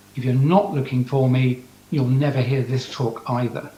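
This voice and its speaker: Here is a man with an English accent. His pitch sits in the medium range. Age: 60s. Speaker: scientist. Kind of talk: talk to audience via video link. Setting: video call to conference audience.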